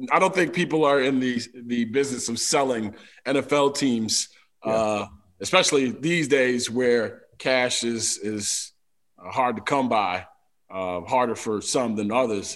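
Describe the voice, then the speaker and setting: A man with an American accent has an ordinary speaking voice, speaking at a fairly slow pace and medium pitch with ordinary pitch variation. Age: 40s. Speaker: sports radio host and show producer. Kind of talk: casual chat.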